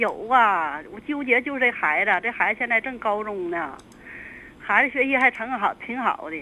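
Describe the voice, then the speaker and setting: Over noticeable background noise, a woman speaks with fairly high pitch and lively intonation. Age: 60s. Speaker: caller. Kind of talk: call-in advice. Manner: halting.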